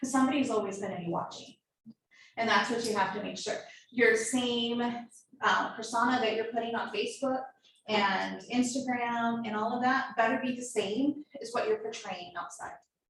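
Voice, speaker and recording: A woman's fairly high voice, fairly even in intonation, at a moderate pace, with audible room echo. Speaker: marketing workshop presenter. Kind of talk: workshop lecture.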